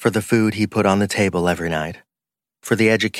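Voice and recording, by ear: The clip is reading aloud in a natural voice against a quiet background.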